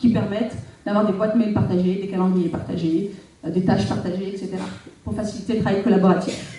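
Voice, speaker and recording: Over noticeable background noise and audible room echo, a woman speaks at a fairly quick pace. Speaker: local elected official. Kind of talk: public talk. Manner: fast.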